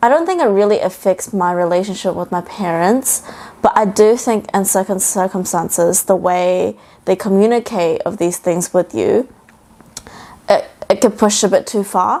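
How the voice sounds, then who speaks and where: With a New Zealand accent, a woman speaks in a dark, mellow tone with ordinary pitch variation. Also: medium pitch for a woman, moderate pace. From New Zealand (Auckland), first six years in Shanghai. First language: Mandarin. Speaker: bakery founder. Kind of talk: podcast interview.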